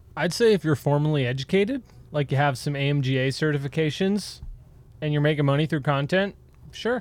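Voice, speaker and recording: Fairly quick speech with a Wisconsin accent. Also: man, fairly high pitch for a man, ordinary pitch variation. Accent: Wisconsin (upper Midwest). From Wisconsin, US. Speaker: ski patroller and retail sales associate. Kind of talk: casual conversation.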